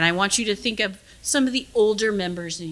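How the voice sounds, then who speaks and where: The woman's voice has a bright, sharp tone. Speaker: physician and geneticist. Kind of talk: lecture. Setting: room with audience. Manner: halting.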